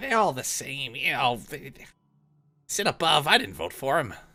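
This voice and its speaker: A man's put-on character voice, fairly high in pitch, on a very clean recording with a silent background. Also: moderate pace. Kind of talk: comic pirate voice. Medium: actual play. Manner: rambling, forgetful, self-pitying.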